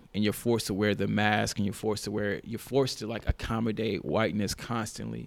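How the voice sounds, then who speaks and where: Talking at a very fast pace with hardly any pauses, a man uses a fairly low pitch, fairly even intonation and vocal fry. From Nashville, Tennessee. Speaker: podcast host, student. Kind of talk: casual chat. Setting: studio.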